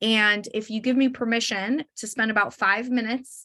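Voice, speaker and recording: This woman speaks with an American accent. Her tone is bright and sharp. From Arizona. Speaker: estate planning attorney. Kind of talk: webinar sales pitch. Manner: fast.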